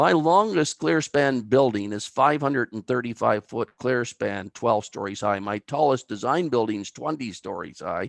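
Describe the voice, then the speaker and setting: With an Atlantic Canadian accent, the speaker keeps a moderate pace with hardly any pauses and lively intonation, in a dry, close sound with no echo. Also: man, medium pitch for a man. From Atlantic Canada, New Brunswick (Albert County). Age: 60s. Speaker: timber bridge engineer. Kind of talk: webinar presentation.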